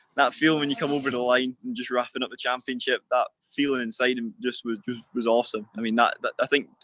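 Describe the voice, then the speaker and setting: Speaking very fast with a Scottish accent, this man has a bright, sharp tone at medium pitch and fairly even intonation. The sound is dry and close with no echo, over a quiet background. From Scotland, Perth. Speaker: motorcycle racer. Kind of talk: interview. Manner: halting, repetitive.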